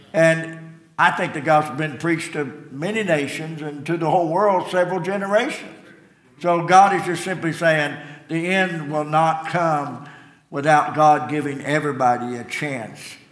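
With noticeable background noise behind him, a man of fairly high pitch speaks at a moderate pace with ordinary pitch variation. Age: 70s. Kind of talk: sermon. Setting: church.

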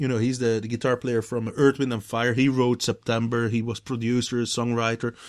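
In a very clean recording with a silent background, a man of medium pitch talks at a fairly quick pace in a flat monotone, with hardly any pauses. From Belgium. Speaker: guitar builder and touring musician. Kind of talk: casual interview chat. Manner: halting.

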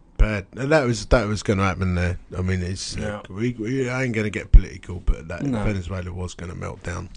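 Music plays behind a man with a British accent speaking at a moderate pace. His pitch is fairly low, with ordinary variation. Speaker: podcast co-host. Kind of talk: casual, chatty.

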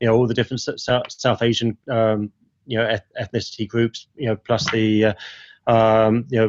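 A man with an East London accent speaks at a moderate pace and a medium pitch. His intonation is flat and monotone, against a quiet background. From East London (Ilford). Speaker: agency president. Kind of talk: interview conversation.

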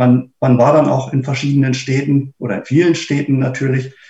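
Fairly high in pitch and somewhat breathy, a man's voice carries fairly even intonation. His pace is moderate. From Braunschweig, Germany. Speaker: blind cruise traveller. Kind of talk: casual group talk.

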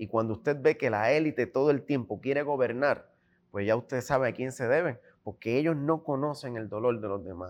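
At a fairly quick pace, a man speaks in a normal speaking voice at a medium pitch with ordinary pitch variation. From Puerto Rico. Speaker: independent gubernatorial candidate. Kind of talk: political interview.

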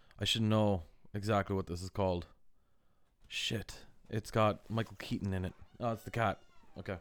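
Delivery comes at a moderate pace with an American accent, monotone, flat intonation and long, frequent pauses. The recording is very clean, with a silent background. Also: man, fairly low pitch for a man. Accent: mid-Atlantic, between Irish and American. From Ireland, west, with years in the US. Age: 30s. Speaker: podcast host, artist and musician. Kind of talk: casual chat.

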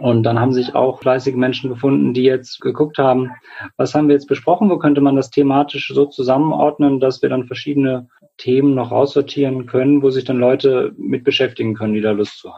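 Fairly quick and with fairly even intonation, an ordinary speaking voice carries the words. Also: man, medium pitch for a man. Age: 20s. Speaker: clinical psychologist and climate activist. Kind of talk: interview.

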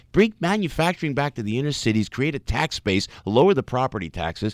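A man's animated, very fast speech with vocal fry and very wide pitch swings, in a dry, close sound with no echo. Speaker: entertainer and former radio personality. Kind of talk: interview. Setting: studio.

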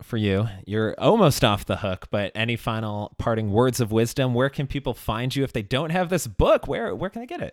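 A man's plain, everyday voice, medium in pitch, with an American accent, ordinary pitch variation, hardly any pauses, and a dry, close sound with no echo. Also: moderate pace. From Chicago. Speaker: podcast host. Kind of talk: casual chat. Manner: laughs often.

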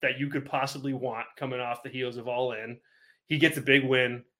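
On a very clean recording with a silent background, a man speaks with a bright, sharp tone. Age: 30s. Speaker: wrestling podcast host. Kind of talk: casual chat.

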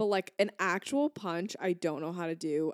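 Recorded very cleanly, dry and close with no echo and a silent background, a woman speaks at a moderate pace in an ordinary speaking voice with ordinary pitch variation. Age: 20s. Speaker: podcast co-host. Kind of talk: casual chat.

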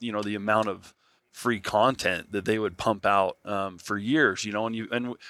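Very clean recording with a silent background: a man with an American accent, a fairly low pitch, a bright, sharp tone, fairly even intonation and a moderate pace. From Nevada. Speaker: podcast host. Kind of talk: casual interview. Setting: at expo, recorded in person.

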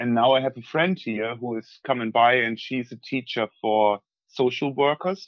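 A man with a German accent speaks at medium pitch. His pace is moderate, with ordinary pitch variation. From northwest Germany, East Frisia. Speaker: tour guide. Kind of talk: casual remote interview. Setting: video call from countryside home, poor audio.

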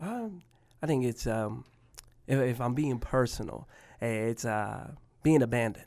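With long, frequent pauses, a man talks at a fairly slow pace, using a medium pitch and ordinary pitch variation. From Spokane, Washington, with childhood in Tacoma and Mobile, Alabama. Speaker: slam poet and rapper. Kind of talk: interview conversation. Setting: studio. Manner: halting, many fillers.

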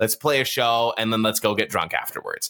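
In a Canadian accent, a man of medium pitch speaks with a bright, sharp tone and ordinary pitch variation on a very clean recording with a silent background. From Toronto, Canada. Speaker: podcast host. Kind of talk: casual interview.

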